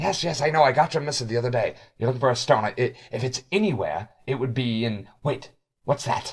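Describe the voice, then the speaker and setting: A man's raspy, put-on character voice at medium pitch, delivered at a fairly quick pace. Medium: actual play. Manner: tense, argumentative.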